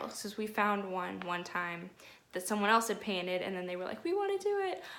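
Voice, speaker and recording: A woman with a bright, sharp tone and medium pitch is heard with audible room echo. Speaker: nanny and lifestyle vlogger. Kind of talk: casual vlog tutorial. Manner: fast; animated.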